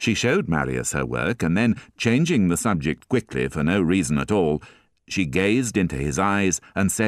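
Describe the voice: Lively intonation in a plain reading aloud.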